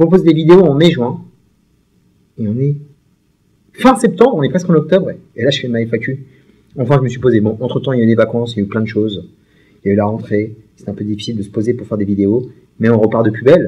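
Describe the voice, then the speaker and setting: A man talks at a very fast pace with long, frequent pauses and lively intonation. His voice is somewhat breathy, with a dark, mellow tone. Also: medium pitch for a man. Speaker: YouTuber, film and series fan. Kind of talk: casual Q&A monologue. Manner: very fast speech; energetic, voluble.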